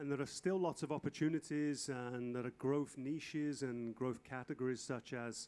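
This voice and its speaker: Moderately paced speech from a man, medium in pitch, its intonation fairly even. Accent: English. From England. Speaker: fashion industry consultant, lecturer. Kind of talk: lecture with consecutive interpretation. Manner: halting.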